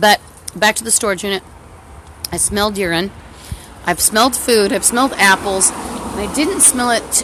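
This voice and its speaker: A woman talks at a moderate pace with ordinary pitch variation and long, frequent pauses over noticeable background noise. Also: medium pitch for a woman. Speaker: vlogger. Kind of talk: personal rant. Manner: halting; distracted.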